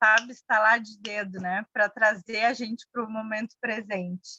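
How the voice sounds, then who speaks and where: In a Bahian accent, a woman with a fairly high pitch and a bright, sharp tone speaks slowly-ish, at a fairly slow pace, in a monotone, flat way, the sound dry and close with no echo. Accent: Bahian Brazilian. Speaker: mindfulness workshop facilitator. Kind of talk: workshop discussion.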